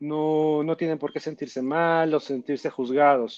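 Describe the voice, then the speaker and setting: At a fairly slow pace and with ordinary pitch variation, the voice comes through over a quiet background. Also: man. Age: 30s. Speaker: sex shop business owner. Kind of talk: interview. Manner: halting, repeats words.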